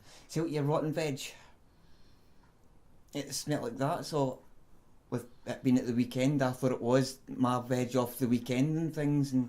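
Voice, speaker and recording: Speaking with a Scottish accent, a man holds a medium pitch and a dark, mellow tone in a monotone, flat intonation, with long, frequent pauses. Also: moderate pace. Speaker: self-described psychic medium. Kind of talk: interview answer.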